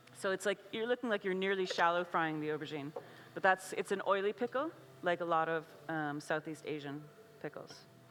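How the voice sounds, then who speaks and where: A woman's plain, everyday voice with an American accent, fairly low in pitch, fairly quick, with ordinary pitch variation. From USA. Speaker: chef and cookbook author. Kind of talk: cooking demonstration. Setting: stage with audience at food festival. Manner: casual, filler-heavy.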